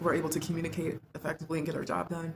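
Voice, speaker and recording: A woman's fairly low voice with vocal fry at a very fast pace. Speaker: lifestyle vlogger. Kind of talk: casual monologue to camera. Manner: soft-spoken.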